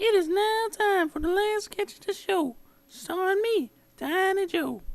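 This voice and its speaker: A squeaky, put-on character voice comes at a moderate pace with ordinary pitch variation. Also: woman, extremely high pitch for a woman. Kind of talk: comic infomercial testimonial. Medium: comedy sketch.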